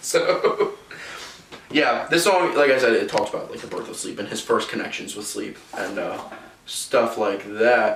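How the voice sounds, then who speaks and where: Noticeable background noise sits behind a man speaking at a moderate pace. His loudness swings widely. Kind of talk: casual lecture to friends.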